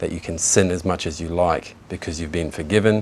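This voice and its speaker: A man with a very deep, low pitch speaks at a moderate pace over noticeable background noise. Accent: New Zealand. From New Zealand, Kaikohe. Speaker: convert to Islam. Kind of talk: testimony. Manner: halting, many fillers.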